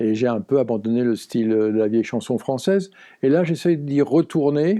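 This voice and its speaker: A man talks at a fairly slow pace in a dark, mellow tone with ordinary pitch variation. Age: 70s. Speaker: songwriter. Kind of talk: interview. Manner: hesitant, many fillers.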